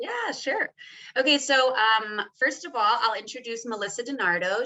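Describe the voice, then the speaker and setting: With an American accent, a woman in an ordinary speaking voice talks at a moderate pace, her fairly high pitch showing ordinary variation. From Texas. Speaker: legal documents specialist, former teacher. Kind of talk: webinar panel talk. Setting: online webinar.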